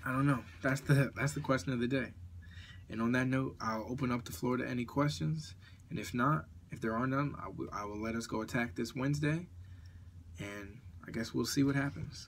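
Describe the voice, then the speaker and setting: Medium-pitched male speech at a fairly quick pace with ordinary pitch variation, on a very clean recording with a silent background. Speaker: morning show host. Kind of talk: live audio show monologue. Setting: at home, live audio app. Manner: halting, self-correcting.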